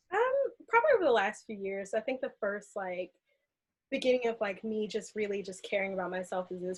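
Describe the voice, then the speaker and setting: A woman speaks with an American accent at a medium pitch. Her pace is very fast. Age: 20s. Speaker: aerial artist and clinical researcher. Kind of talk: podcast interview.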